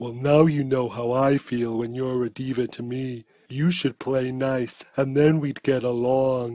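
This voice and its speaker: In a cartoonish character voice at medium pitch, a man talks at a fairly slow pace with monotone, flat intonation and hardly any pauses. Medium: puppet show. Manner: smug, camp, theatrical.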